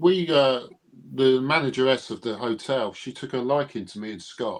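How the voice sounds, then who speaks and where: A man speaks at a moderate pace with a medium pitch and ordinary pitch variation. His loudness swings a lot. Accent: British. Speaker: Elvis fan and collector. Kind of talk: casual chat.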